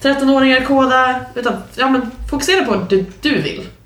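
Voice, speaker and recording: A woman's high-pitched voice at a moderate pace, with noticeable background noise and audible room echo. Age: 20s. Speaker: podcast co-host, junior software developer. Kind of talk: casual chat.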